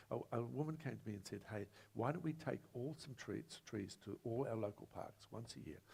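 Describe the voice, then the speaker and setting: With a New Zealand accent, a man speaks at a fairly quick pace in a dark, mellow tone, his medium pitch roughened by vocal fry. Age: 70s. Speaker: former mayor, panelist. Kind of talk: panel discussion. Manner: animated.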